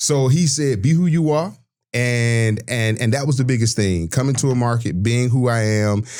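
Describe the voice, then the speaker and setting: Speaking with a Southern US accent, a man in an animated tone keeps a moderate pace, medium pitch and very even loudness. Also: ordinary pitch variation. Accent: Southern US (Georgia). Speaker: sports broadcaster. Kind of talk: podcast interview.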